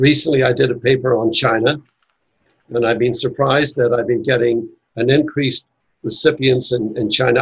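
His medium-pitched male voice is somewhat breathy, with fairly even intonation. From Northern Ireland. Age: 80s. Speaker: author and Masonic educator. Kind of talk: casual interview conversation.

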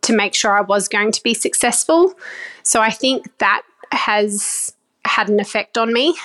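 With an Australian accent, this voice moves at a moderate pace, the sound dry and close with no echo. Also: woman. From Australia, far North Queensland. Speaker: vegetable farmer. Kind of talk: interview. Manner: hesitant with frequent fillers.

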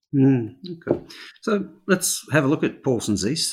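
At a moderate pace, a man speaks in a normal speaking voice at medium pitch. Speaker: podcast host. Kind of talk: interview.

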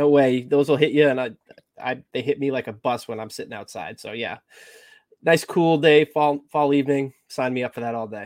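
This man has an unremarkable speaking voice, fairly high in pitch, with ordinary pitch variation at a moderate pace. His loudness swings widely. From Massachusetts. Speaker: podcast co-host. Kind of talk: casual chat.

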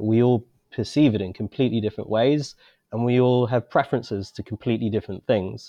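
This man has an unremarkable speaking voice at a medium pitch. His pitch variation is ordinary. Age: 30s. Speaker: wine bar owner. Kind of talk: interview.

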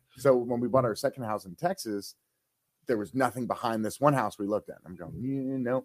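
This man has an ordinary speaking voice with an American accent, medium pitch and ordinary pitch variation at a moderate pace. His loudness swings widely, and the sound is dry and close with no echo. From northeast Ohio, Mahoning Valley. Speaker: city manager. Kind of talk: casual chat.

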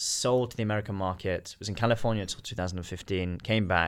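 A man with a British accent at a fairly quick pace, on a very clean recording with a silent background. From Britain. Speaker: watch dealer, company founder. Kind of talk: casual interview.

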